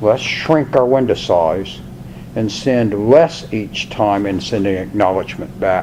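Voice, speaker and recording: With lively intonation and a fairly low pitch, a man talks at a fairly slow pace amid audible room echo and noticeable background noise. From Washington, D.C. area. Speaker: college instructor. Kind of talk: lecture. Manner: conversational.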